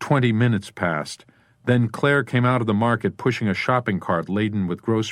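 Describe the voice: The clip is plain reading aloud. The text is read straight through.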